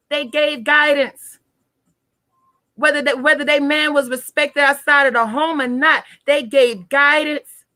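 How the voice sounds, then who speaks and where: Raised and projected, a woman's high, bright, sharp voice sounds animated as she speaks at a fairly slow pace. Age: 20s. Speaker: tarot reader. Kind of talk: live stream talk.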